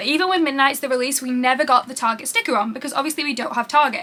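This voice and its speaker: A woman with a British accent speaks at a very fast pace in a raised, projected voice, her pitch high and her tone animated, over noticeable background noise. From UK. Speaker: YouTuber. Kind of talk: unboxing video.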